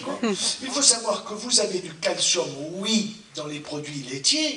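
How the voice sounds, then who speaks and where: A man speaks very slowly in a raised, projected, high voice with very wide pitch swings and big swings in loudness, with noticeable background noise and audible room echo. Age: 70s. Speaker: doctor. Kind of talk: lecture. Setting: stage with audience. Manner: animated.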